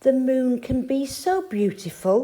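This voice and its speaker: At a fairly slow pace, the speaker delivers a put-on character voice. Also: female-sounding voice. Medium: read story.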